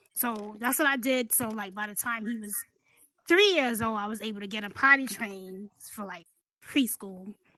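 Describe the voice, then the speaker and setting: This woman speaks at a moderate pace with ordinary pitch variation. Her tone is bright and sharp, and her loudness swings widely. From New York City (Brooklyn). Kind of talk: casual chat. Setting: virtual reality podcast. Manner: soft-spoken. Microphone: too quiet, low mic volume.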